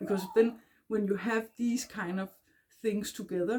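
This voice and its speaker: Her tone is dark and mellow, somewhat breathy, at medium pitch with ordinary pitch variation. This woman speaks at a fairly slow pace. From Denmark. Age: 40s. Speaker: self-help vlogger. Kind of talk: casual talk to camera. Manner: halting, many fillers.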